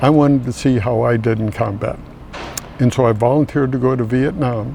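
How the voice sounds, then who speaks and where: A man at a medium pitch with ordinary pitch variation, moderate pace, and noticeable background noise. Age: 80s+. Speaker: army veteran. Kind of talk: interview testimony.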